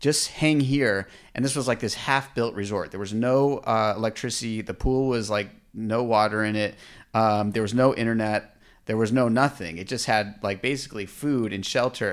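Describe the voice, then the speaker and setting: A man speaks with an American accent at a moderate pace and a medium pitch, in a plain, everyday voice. The recording is very clean, with a silent background. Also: fairly even intonation. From Orange County, California. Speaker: entrepreneur. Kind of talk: interview. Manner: casual, laughs often.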